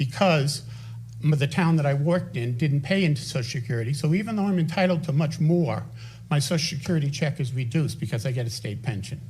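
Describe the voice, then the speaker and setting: Talking at a very fast pace, a man has a fairly high, somewhat breathy voice with ordinary pitch variation. Audible room echo surrounds the recording. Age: 70s. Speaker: resident speaking at town council. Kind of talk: public comment at council meeting. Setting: town council meeting. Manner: animated.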